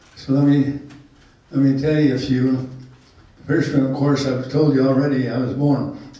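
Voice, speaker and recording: Amid noticeable background noise and audible room echo, a man with an American accent and a fairly high pitch speaks in a flat monotone at a moderate pace, leaving long, frequent pauses. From Utah. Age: 80s+. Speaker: storyteller. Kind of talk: life-story talk to a small group. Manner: halting.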